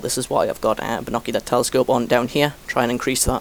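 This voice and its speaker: With a British accent, a man speaks in monotone, flat intonation over noticeable background noise. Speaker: gaming commentator. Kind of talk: gameplay commentary tutorial. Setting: post-recorded voiceover over replay. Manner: fast; hesitant, many fillers.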